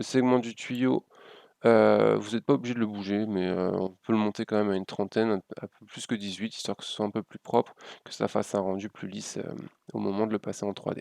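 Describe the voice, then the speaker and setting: A man with a fairly low pitch talks at a fairly quick pace with fairly even intonation and big swings in loudness, in a dry, close sound with no echo over a quiet background. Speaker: graphic design tutorial youtuber. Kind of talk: software tutorial. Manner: fast; hesitant, many fillers.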